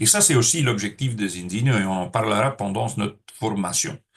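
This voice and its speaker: A somewhat breathy man with a fairly low pitch and ordinary pitch variation, speaking at a moderate pace. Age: 60s. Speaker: network marketing trainer. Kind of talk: training seminar. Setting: room with audience. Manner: hesitant, many filler sounds.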